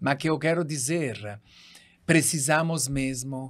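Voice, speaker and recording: A man with a strong Italian accent speaks very slowly in a fairly high voice with ordinary pitch variation. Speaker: doctor. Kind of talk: podcast interview.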